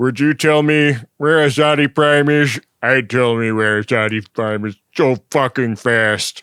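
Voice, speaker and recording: A man adopts a put-on character voice at medium pitch, with ordinary pitch variation. He goes at a fairly slow pace in a dry, close sound with no echo. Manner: creepy.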